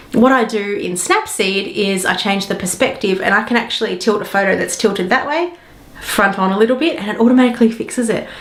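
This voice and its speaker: Very fast speech with ordinary pitch variation, noticeable background noise and audible room echo. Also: woman, fairly high pitch for a woman. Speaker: digital marketing specialist and photography tutor. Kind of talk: tutorial. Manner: casual.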